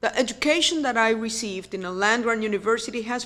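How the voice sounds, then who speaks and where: Speaking with a Puerto Rican accent, a woman talks at a fairly quick pace. Her pitch is fairly high, with ordinary pitch variation. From Puerto Rico. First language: Spanish. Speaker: university president. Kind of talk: keynote speech.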